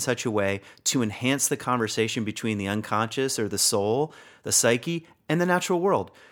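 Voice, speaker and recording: A man with an American accent speaks at a moderate pace in an unremarkable speaking voice, his pitch medium with ordinary variation, on a very clean recording with a silent background. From Virginia, US. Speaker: spiritual teacher, author and former pastor. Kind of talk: interview conversation.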